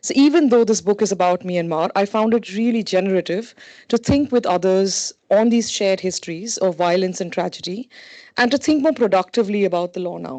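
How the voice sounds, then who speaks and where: At a fairly quick pace, a woman speaks with a medium pitch, ordinary pitch variation and a dark, mellow tone over a quiet background. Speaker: associate professor, panel discussant. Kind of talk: academic panel discussion. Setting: workshop panel with audience. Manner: loud.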